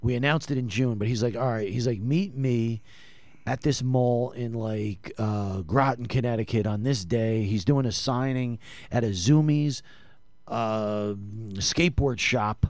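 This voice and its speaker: With an American accent, a man has an unremarkable speaking voice, medium in pitch with ordinary pitch variation. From New Jersey. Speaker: former hockey team executive. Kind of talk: casual interview.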